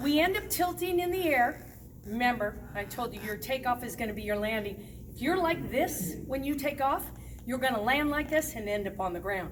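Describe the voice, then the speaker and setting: Audible room echo surrounds a woman speaking at a moderate pace in a high voice with lively intonation. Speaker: roller skating instructor. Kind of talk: tutorial. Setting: skating rink. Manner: animated.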